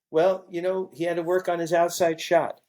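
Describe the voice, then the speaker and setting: Speaking with an American accent, a high-pitched man moves at a fairly quick pace. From Brooklyn, New York. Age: 60s. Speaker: sports photographer. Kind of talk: podcast interview. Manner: animated.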